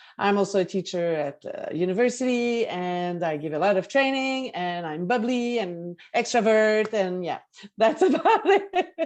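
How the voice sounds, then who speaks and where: A woman with a Quebec accent, fairly high in pitch, with very wide pitch swings at a moderate pace. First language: French. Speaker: management consultant. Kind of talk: video call introductions.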